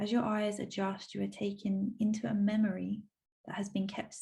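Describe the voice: Behind the voice, the setting is quiet. The delivery is plain reading aloud.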